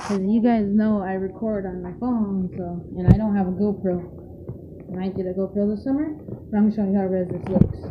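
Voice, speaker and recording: Amid noticeable background noise and audible room echo, a woman talks at a fairly quick pace with fairly even intonation and big swings in loudness. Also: medium pitch for a woman. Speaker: vlogger. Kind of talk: casual vlog talk. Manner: halting, many fillers.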